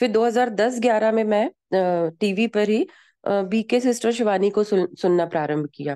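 A woman's fairly high voice has a dark, mellow tone and ordinary pitch variation. The sound is dry and close with no echo, over a quiet background. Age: 40s. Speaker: school teacher. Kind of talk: personal testimony.

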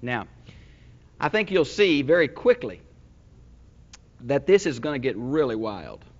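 A man is speaking. His pace is moderate. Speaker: pastor teacher. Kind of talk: sermon. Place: church. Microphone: lapel.

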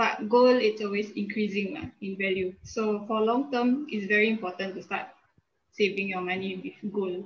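Against light background noise, a somewhat breathy woman speaks at a very slow pace. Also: ordinary pitch variation. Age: 20s. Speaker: business graduate. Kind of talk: testimony. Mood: friendly, calm. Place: home room. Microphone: video call.

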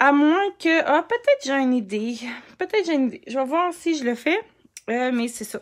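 A woman with a Quebec accent and a high pitch, lively intonation, moderate pace and long, frequent pauses, against a quiet background. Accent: Québécois French. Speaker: scrapbooking crafter and live streamer; live streamer. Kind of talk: casual live stream crafting chat. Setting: Facebook live stream. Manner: animated. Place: home room.

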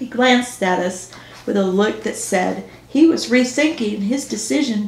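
With lively intonation, the speaker reads aloud naturally.

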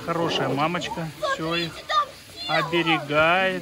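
A bright, sharp tone carries fairly even intonation over faint background noise. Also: man.

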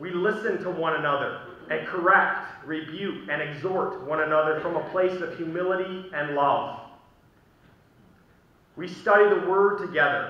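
With audible room echo around him, a man speaks at a high pitch with ordinary pitch variation. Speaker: pastor. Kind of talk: sermon. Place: church. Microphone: podium.

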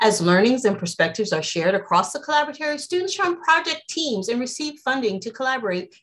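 Her pitch swings across a very wide range. The woman's voice is somewhat breathy. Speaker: host of a university online seminar. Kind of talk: formal introductory remarks. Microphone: video call.

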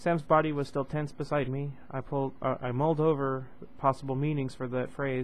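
The intonation is fairly even. It is plain reading aloud.

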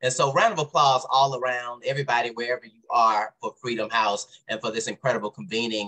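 A man with an American accent talks at a very fast pace, hardly pausing at all. His tone is bright and sharp against a quiet background. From US South. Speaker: event moderator. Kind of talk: event remarks. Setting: virtual event. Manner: frequent filler words. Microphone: video call.

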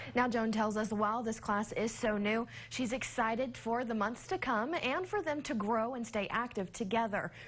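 At a moderate pace with hardly any pauses, this is a normal speaking voice with ordinary pitch variation. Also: woman, fairly high pitch for a woman. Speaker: TV news reporter. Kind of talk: local TV news report.

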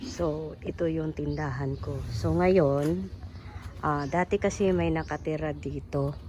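Speaking very slowly, a woman with a very deep, low pitch and a dark, mellow tone uses vocal fry and very wide pitch swings. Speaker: vlogger. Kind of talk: casual vlog narration. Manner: halting.

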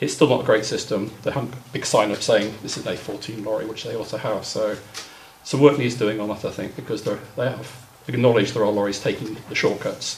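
Light background noise sits behind a man speaking at a fairly quick pace. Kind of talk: meeting report. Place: hall. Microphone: camera far.

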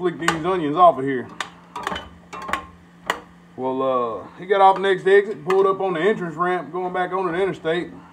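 Over noticeable background noise, the speech moves at a fairly quick pace. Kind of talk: casual storytelling while cooking. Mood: amused, laid-back. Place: kitchen. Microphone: phone near.

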